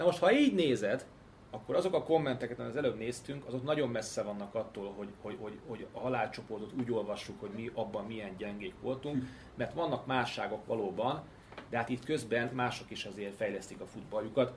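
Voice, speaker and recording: Talking fairly quickly against noticeable background noise, a man uses ordinary pitch variation. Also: medium pitch for a man. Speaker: political analyst. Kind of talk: casual chat.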